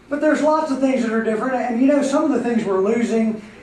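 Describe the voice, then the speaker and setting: Heard with audible room echo and noticeable background noise, a man speaks with an American accent. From Pennsylvania and New Jersey. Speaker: coffeehouse owner and emcee. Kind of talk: stand-up.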